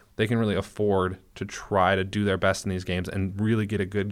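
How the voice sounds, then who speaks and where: In an American accent, a man speaks with an unremarkable speaking voice, fairly low in pitch and fairly even in intonation, on a very clean recording with a silent background. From Minnesota. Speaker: sports podcast co-host, newspaper reporter. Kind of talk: casual chat. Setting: studio.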